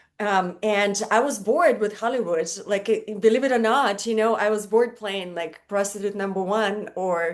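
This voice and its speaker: A woman speaks with a Russian accent at a medium pitch and moderate pace. Her pitch varies in an ordinary way, and she hardly pauses. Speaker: model and stand-up comedian. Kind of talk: casual chat.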